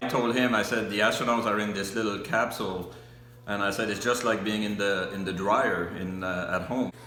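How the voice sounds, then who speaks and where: Speaking at a fairly quick pace, a man keeps his fairly low pitch fairly even. There is audible room echo and noticeable background noise. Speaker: interviewee recalling the moon landing. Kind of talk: personal reminiscence.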